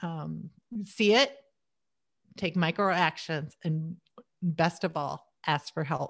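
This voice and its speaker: Very slowly, with long, frequent pauses, a woman speaks in a fairly low voice with vocal fry and ordinary pitch variation, on a very clean recording with a silent background. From US Midwest. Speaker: tech entrepreneur. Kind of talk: interview.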